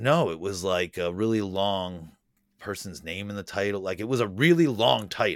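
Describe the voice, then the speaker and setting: Moderately paced, a man talks in an ordinary speaking voice at a fairly low pitch with ordinary pitch variation. The recording is very clean, with a silent background. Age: 40s. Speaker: special makeup effects artist. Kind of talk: casual chat.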